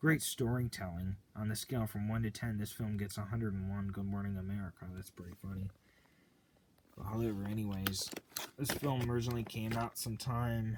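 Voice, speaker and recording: Using a normal speaking voice, a man with a fairly low pitch talks at a fairly quick pace with fairly even intonation. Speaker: VHS collector video host. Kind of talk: casual unboxing commentary.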